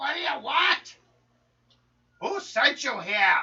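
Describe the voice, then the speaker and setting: A put-on character voice, high and shrill, crawls along at a very slow pace with very wide pitch swings. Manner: snapping, hostile.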